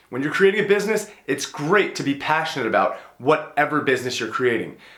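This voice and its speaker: A man's lively intonation rings out against noticeable echo from the room. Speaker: business YouTuber and entrepreneur. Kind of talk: casual monologue video on business advice. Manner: conversational, uses fillers like you know and right.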